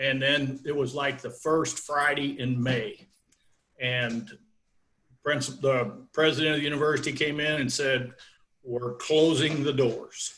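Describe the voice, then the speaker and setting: Fairly high in pitch with fairly even intonation, a man talks in an unremarkable speaking voice. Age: 60s. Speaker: wrestling coach. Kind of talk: interview.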